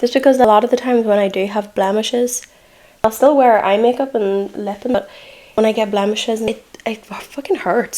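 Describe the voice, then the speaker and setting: Noticeable background noise sits behind a woman with a fairly high pitch and a relaxed tone. She speaks fairly quickly, her intonation fairly even. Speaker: makeup artist. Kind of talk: casual makeup tutorial talk to camera. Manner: chatty, relaxed.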